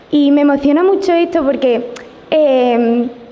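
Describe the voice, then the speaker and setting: Over noticeable background noise and audible room echo, a woman speaks in a high pitch with ordinary pitch variation. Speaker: nurse and audience member. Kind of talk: audience question at conference. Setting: conference hall with audience. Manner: halting, many fillers.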